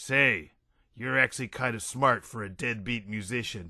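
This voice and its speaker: A man uses a raspy, put-on character voice at a medium pitch. He speaks at a moderate pace against a quiet background. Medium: read story. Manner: brash, casual, profane.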